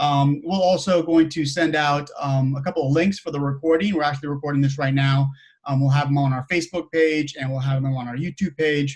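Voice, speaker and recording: Somewhat breathy and fairly high in pitch, a man talks at a fairly quick pace with fairly even intonation and hardly any pauses. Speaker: meetup host. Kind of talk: casual chat. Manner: fast.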